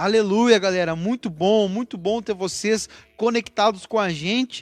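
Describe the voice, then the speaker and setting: A man with a high pitch speaks at a moderate pace in an animated tone. The sound is dry and close, with no echo. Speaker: church youth podcast host. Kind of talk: casual church panel discussion.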